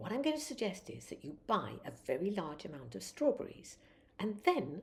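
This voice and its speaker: Speaking at a moderate pace, a woman with a medium pitch uses very wide pitch swings and some vocal fry. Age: 80s+. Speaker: elderly vlogger. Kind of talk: casual vlog talk.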